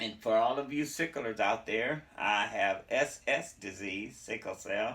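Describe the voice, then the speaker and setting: A man talks at a fairly slow pace with hardly any pauses, his medium-pitched voice bright and sharp with lively intonation. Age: 60s. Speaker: vlogger with sickle cell. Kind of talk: casual how-to vlog. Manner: casual conversational.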